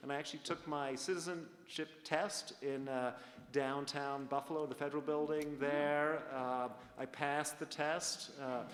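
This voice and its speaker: With a slight Canadian accent, a man talks at a fairly high pitch and a fairly slow pace in a monotone, flat intonation, with noticeable background noise behind him. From Canada. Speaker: university dean. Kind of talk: panel discussion. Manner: halting, many fillers.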